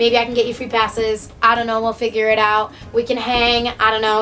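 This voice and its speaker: A woman speaks in a high, animated voice over background music. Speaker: vlogger. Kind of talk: casual vlog talk to camera. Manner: fast.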